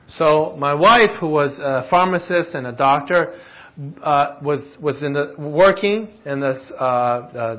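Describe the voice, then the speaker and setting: This man uses an ordinary speaking voice, fairly high in pitch, with ordinary pitch variation. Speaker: interpreter. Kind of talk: consecutive interpretation. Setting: church.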